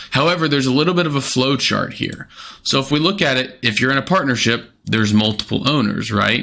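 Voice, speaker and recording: At a fairly quick pace, a man talks in a bright, sharp tone. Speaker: financial advisor. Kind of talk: explainer video. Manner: fast.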